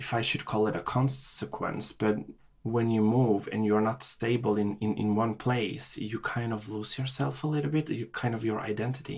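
Somewhat breathy, a man talks at a moderate pace with ordinary pitch variation. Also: medium pitch for a man. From Chile; Norway (raised from age five). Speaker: immigrant guest. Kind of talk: casual interview conversation. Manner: halting, repeats words.

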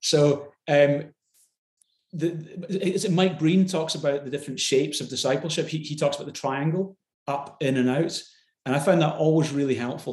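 This man has a Glasgow accent and a fairly high pitch. He sounds somewhat breathy, with ordinary pitch variation and a moderate pace. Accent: Scottish (Glasgow). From Scotland, Glasgow. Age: 40s. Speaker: pastor. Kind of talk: interview conversation.

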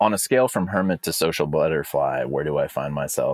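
A man with a Californian accent talks at a fairly quick pace. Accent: Californian American. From California, East Bay (Alameda). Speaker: rancher and land manager. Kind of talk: interview. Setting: office.

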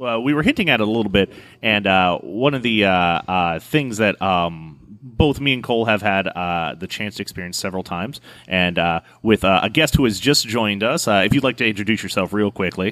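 Here is a man with a plain, everyday voice and a fairly low pitch. He talks at a fairly quick pace with ordinary pitch variation. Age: 30s. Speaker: bartender and podcast co-host. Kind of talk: casual chat. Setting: recorded at a bar.

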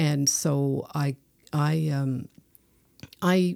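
This woman speaks with a Newfoundland accent and a very deep, low pitch. Her tone is dark and mellow, with ordinary pitch variation. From Newfoundland, Placentia. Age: 60s. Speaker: poet. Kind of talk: casual chat.

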